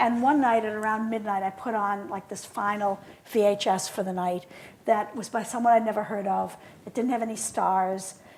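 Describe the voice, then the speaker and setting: Her voice sits fairly high, and the woman keeps her intonation fairly even. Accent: Boston. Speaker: film scholar and curator. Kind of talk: conversational interview.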